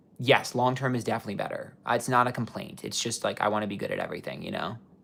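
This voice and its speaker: With an American accent, a man talks very fast at a medium pitch. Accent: New York accent, stronger when excited. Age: 30s. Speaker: psychic tarot reader. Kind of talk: livestream chat reading viewer comments. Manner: long-winded, passionate.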